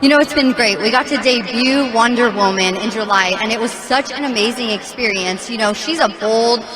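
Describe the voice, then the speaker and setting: Over crowd noise and audible room echo, a woman with an American accent talks at a fairly quick pace in a high pitch with ordinary pitch variation. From Texas, El Paso. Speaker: monster truck driver. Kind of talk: interview. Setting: stadium with audience.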